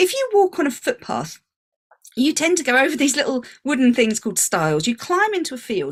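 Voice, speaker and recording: Speaking with a British accent, a woman has a high pitch and very wide pitch swings. Her pace is fairly quick. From England. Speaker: business coach. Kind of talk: online workshop talk.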